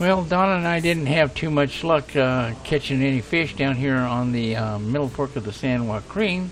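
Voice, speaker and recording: Music in the background behind a man with an American accent, medium pitch, ordinary pitch variation and a fairly slow pace. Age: 70s. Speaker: vlogger. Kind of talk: casual narration. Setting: outdoors.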